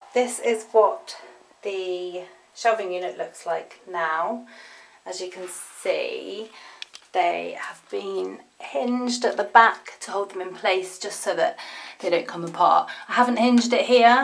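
A woman speaks at a very slow pace, her loudness swinging widely over light background noise. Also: ordinary pitch variation. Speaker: home vlogger. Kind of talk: casual vlog chat. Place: garden. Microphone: phone near.

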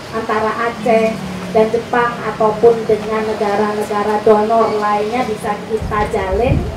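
The pace is fairly slow for this woman. Background noise is noticeable throughout. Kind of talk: formal opening speech. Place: street.

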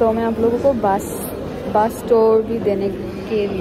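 A woman speaks at a fairly slow pace. Music plays in the background, and the sound is dry with no echo. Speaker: travel vlogger. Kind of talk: casual vlog chat. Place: station.

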